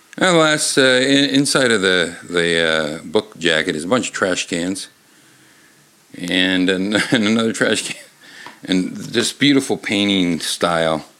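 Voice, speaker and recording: The speaker's intonation is lively at a fairly slow pace. There is noticeable background noise. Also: man, fairly low pitch for a man. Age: 50s. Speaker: comedy podcast host reading children's books. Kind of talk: comedic reading aloud. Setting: bar. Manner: halting.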